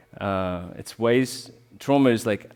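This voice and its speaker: His pitch is medium. The man has an Australian accent. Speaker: rolfing bodyworker. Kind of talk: public talk.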